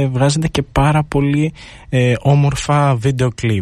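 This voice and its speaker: A man speaks in a plain, everyday voice, fairly high-pitched for a man, at a fairly slow pace. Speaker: student radio host. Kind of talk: radio interview. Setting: studio.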